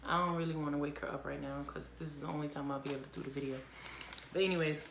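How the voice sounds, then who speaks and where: A woman with a very deep, low voice speaks at a very fast pace with fairly even intonation, amid audible room echo and noticeable background noise. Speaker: vlogger. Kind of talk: casual chat.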